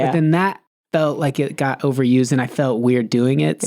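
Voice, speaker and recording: With a dark, mellow tone and medium pitch, a man talks at a fairly quick pace, his loudness very even and his pitch varying in an ordinary way. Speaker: podcast guest, comedian with a weekly show. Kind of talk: casual conversational. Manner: quiet, low volume.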